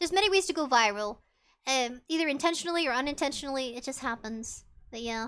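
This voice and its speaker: Raising and projecting her voice, a woman speaks at a fairly quick pace in a bright, sharp tone with very wide pitch swings. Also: very clean recording, silent background. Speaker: VTuber streamer. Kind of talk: casual chat. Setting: live stream.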